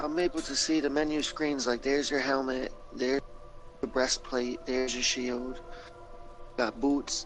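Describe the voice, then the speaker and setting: With music in the background, a man speaks at a fairly high pitch, with very even loudness and fairly even intonation. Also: moderate pace. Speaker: stream guest. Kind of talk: casual chat.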